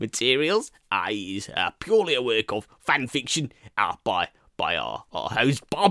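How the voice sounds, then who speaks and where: Speech moves at a moderate rate. It's a very clean recording with total silence in the background. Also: man. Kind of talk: comedy sketch. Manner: brisk, formal, apologetic.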